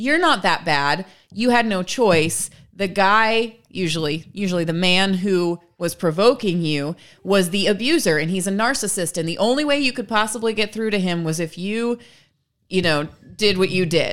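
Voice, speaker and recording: An ordinary speaking voice at a moderate pace with lively intonation, in a very clean recording with a silent background. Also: woman, medium pitch for a woman. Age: 30s. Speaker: podcast co-host. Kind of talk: casual chat.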